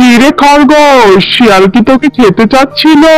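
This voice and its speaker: A cartoonish character voice, fairly high in pitch, at a moderate pace against clear background noise. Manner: gruff, fatherly.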